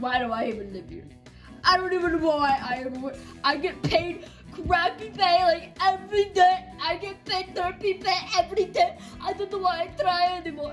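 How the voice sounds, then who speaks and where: A woman does a put-on character voice with a rumbling sound, talking at a moderate pace over music in the background. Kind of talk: comedic skit character monologue. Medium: puppet show. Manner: self-pitying, grumbling. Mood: whiny, fed-up complaining.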